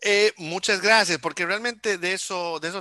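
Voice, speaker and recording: In a dry recording with no echo and a quiet background, a man speaks at a moderate pace with ordinary pitch variation and a bright, sharp tone. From Honduras. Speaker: music school artistic director and interviewer; interviewer. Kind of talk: casual interview. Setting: video call. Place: home room. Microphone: headset.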